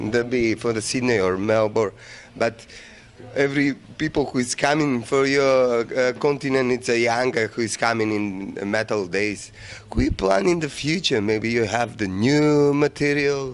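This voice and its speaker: Here a man speaks at medium pitch and a moderate pace, with ordinary pitch variation. Noticeable background noise runs behind him. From North Macedonia. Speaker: music TV host. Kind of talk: interview. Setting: metal festival. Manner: animated; halting.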